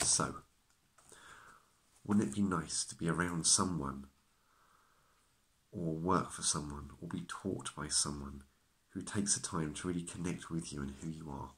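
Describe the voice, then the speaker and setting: A man speaks in a very deep, low pitch with vocal fry and ordinary pitch variation. His pace is moderate, with long, frequent pauses. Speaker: acupuncturist. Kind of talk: self-help talk to camera. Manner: stutters at times. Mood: calm, reassuring. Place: home room. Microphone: phone near.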